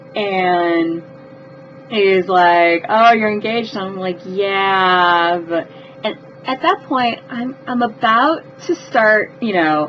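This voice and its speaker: A woman's medium-pitched voice with lively intonation at a very slow pace. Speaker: vlogger telling personal stories. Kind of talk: storytelling vlog. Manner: animated, with repetitions.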